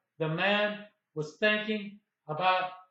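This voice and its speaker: Raised and projected, a man's voice sits high in pitch. It sounds bright and sharp, with monotone, flat intonation. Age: 60s. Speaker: independent anti-aging researcher. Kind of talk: casual talk to camera.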